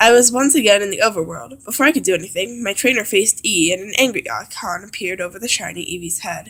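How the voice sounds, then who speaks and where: A woman talks at a very fast pace with hardly any pauses. Her medium-pitched voice shows big swings in loudness. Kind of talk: creepypasta story reading.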